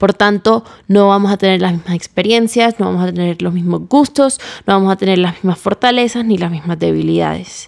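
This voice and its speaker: A woman at a fairly quick pace, dry and close with no echo. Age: 20s. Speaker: podcast host. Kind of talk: casual monologue. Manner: animated.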